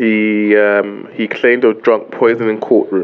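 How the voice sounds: A man's clear, smooth tone, fairly low in pitch, at a fairly slow pace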